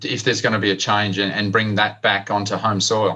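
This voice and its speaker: Against a quiet background, a man with an Australian accent talks at a fairly quick pace in a bright, sharp tone at medium pitch. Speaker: podcast host. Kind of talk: interview.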